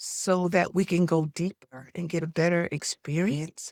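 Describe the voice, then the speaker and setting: A woman speaks at a fairly slow pace in a fairly low pitch. The sound is dry and close, without echo. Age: 60s. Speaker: nonprofit founder and consultant. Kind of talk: information session for nonprofit leaders. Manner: animated.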